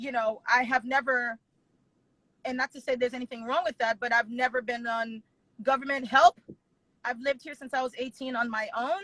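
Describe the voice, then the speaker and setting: Delivered at a fairly quick pace, the speech has a bright, sharp tone, fairly even intonation and long, frequent pauses. Loudness swings widely, and the sound is dry and close with no echo. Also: woman, high pitch for a woman. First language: not English. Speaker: wedding planner and business owner. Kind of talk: interview conversation.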